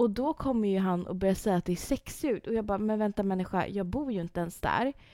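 On a very clean recording with a silent background and a dry, close sound with no echo, a woman speaks at a moderate pace and medium pitch in a dark, mellow tone. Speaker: podcast co-host. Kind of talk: casual chat.

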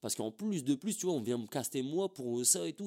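A man's dark, mellow tone comes with lively intonation. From northern France, Templeuve near Roubaix. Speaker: rapper. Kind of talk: casual interview chat. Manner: casual, filler-heavy slang speech.

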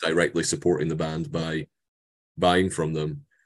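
Very deep and low, a man's voice in a Scottish accent moves at a fairly slow pace with monotone, flat intonation. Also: quiet background. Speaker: metal musician. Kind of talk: interview. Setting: video call.

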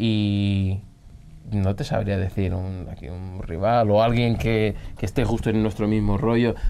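In a dark, mellow tone and a fairly low pitch, a man speaks at a fairly slow pace with fairly even intonation. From Angola and Portugal. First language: Portuguese (speaking Spanish). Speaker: rock musician. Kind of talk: casual interview.

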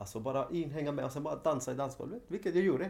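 A man's voice over noticeable background noise. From Sweden, Linköping (arrived from Chile at age 5). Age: 40s. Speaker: dance teacher, former professional dancer. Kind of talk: interview. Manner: halting.

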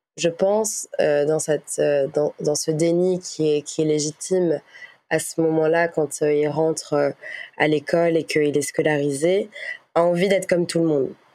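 Her voice is very deep and low, with a dark, mellow tone, very even loudness and a fairly slow delivery. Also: fairly even intonation. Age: 20s. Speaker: podcast guest sharing personal story. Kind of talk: testimony. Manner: hesitant, many fillers and repetitions.

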